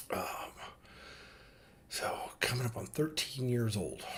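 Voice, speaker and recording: Here a man speaks. He is whispering. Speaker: vlogger father. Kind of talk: casual monologue. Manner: halting.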